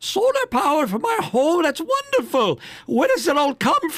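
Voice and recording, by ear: A man does a put-on character voice at an extremely high pitch. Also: moderate pace.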